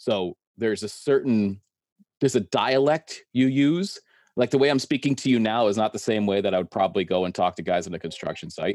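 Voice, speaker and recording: Recorded very cleanly with a silent background and a dry, close sound with no echo, a man with a plain, everyday voice talks at a fairly quick pace, medium pitch and ordinary pitch variation. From Connecticut. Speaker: construction worker and YouTuber. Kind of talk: casual chat.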